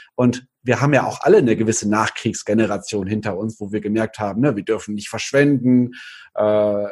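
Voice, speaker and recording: A man with an ordinary speaking voice talks with fairly even intonation against a quiet background. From Cologne, Germany. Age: 30s. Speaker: nutrition speaker and author. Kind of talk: interview.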